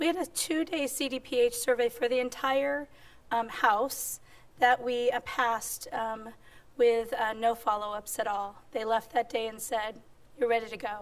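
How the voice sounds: A squeaky voice at a fairly slow pace, with little pitch movement. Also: woman, fairly high pitch for a woman.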